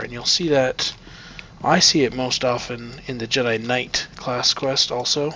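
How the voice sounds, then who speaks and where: Over noticeable background noise, a man with a Midwestern American accent talks at a moderate pace in a medium pitch. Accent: own Midwestern American. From US Midwest. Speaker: gameplay video creator. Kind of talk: let's play commentary. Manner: casual, conversational.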